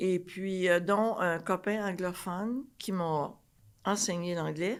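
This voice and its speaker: A woman, speaking at a very slow pace with fairly even intonation, on a very clean recording with a silent background. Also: medium pitch for a woman. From Quebec, Trois-Rivières. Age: 80s+. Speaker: retired flight attendant. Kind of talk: podcast interview, life story.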